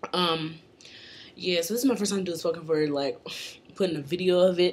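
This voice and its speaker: Her pitch fairly low with ordinary variation, a woman talks over noticeable background noise. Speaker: singer and spoken word poet. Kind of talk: casual talk to camera.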